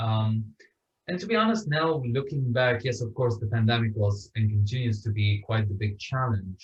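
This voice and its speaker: A man's somewhat breathy, medium-pitched voice with an Arabic accent, ordinary pitch variation and a moderate pace. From Syria, Damascus. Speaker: author and refugee advocate. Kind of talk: interview.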